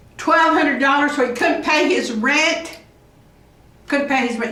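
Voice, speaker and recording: A raised, projected voice with lively intonation and an American accent, over noticeable background noise. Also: woman. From US West. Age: 80s+. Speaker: vlogger. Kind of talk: casual storytelling monologue. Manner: halting.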